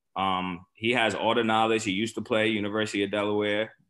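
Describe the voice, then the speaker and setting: A fairly low-pitched man with a New York accent, fairly quick in pace, monotone and flat. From Staten Island, New York. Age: 30s. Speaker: former pro football player. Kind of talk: casual chat. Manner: hesitant fillers.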